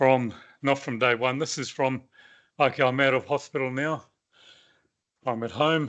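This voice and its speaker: Here a man speaks with a New Zealand accent at a moderate pace and medium pitch. His intonation is fairly even, over a quiet background. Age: 60s. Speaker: cancer survivor. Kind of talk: personal testimony talk. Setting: meeting with live audience. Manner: halting.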